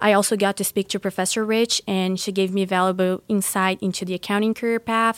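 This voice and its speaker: A woman's fairly quick, monotone, flat delivery with hardly any pauses, in a Portuguese accent, with a dry, close, echo-free sound on a very clean recording with a silent background. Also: medium pitch for a woman. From Brazil. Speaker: university student. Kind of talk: interview.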